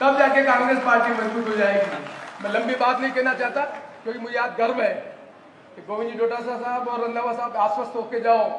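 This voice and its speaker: A man speaks with fairly even intonation amid audible room echo and noticeable background noise. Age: 70s. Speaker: politician. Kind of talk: political rally speech.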